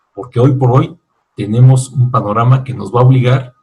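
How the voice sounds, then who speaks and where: A man speaks in a medium pitch. His voice is somewhat breathy. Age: 60s. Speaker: author and business lecturer. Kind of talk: virtual book fair talk.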